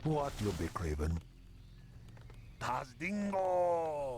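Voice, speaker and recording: A man puts on a character voice at a fairly high pitch in a relaxed tone, with very wide pitch swings and a very slow pace. Clear background noise is audible. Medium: video game. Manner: relaxed, broken grammar.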